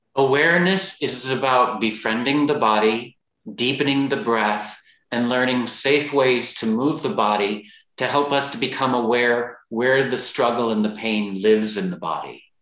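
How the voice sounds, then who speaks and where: Someone speaks with an American accent at a moderate pace. The pitch varies in an ordinary way, and there is audible room echo. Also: man, medium pitch for a man. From Texas. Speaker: yoga teacher and author. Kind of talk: interview.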